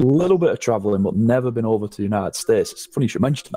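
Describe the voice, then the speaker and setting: With a northern English accent, a man speaks in a dark, mellow tone. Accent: northern English, unchanged since moving. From northern England. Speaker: gaming content creator. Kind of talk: casual interview chat.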